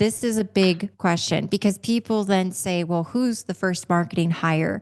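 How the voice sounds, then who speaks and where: Against a quiet background, a woman with an ordinary speaking voice talks at medium pitch and a moderate pace with fairly even intonation. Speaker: revenue consulting company founder and CEO. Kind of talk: interview podcast conversation.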